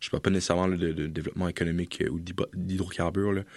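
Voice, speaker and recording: A man rushes at a very fast pace in a monotone, flat intonation. His pitch is very deep and low against a quiet background. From Europe. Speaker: political science student. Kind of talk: casual expert discussion.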